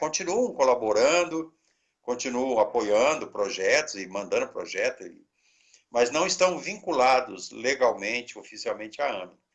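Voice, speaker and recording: A man talks at a moderate pace. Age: 60s. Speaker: pastor, head of a mission organization. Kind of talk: interview.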